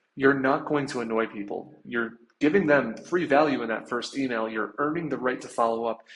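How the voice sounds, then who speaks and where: His pitch sits in the medium range with ordinary variation. The man moves at a fairly quick pace. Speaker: sales trainer. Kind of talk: tutorial. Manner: fast.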